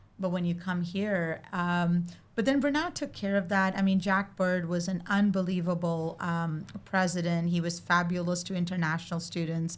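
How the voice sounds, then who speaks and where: Her voice fairly low and her intonation fairly even, a woman with an Indian accent speaks with hardly any pauses. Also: moderate pace. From India (Mumbai). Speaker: arts center executive director. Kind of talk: casual chat.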